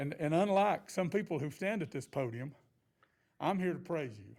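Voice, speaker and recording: A very fast-talking man with an Appalachian accent and lively intonation. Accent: Southern Appalachian US. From western North Carolina. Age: 60s. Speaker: board applicant. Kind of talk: public interview at government meeting. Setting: podium at county commission meeting. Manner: halting, many repetitions.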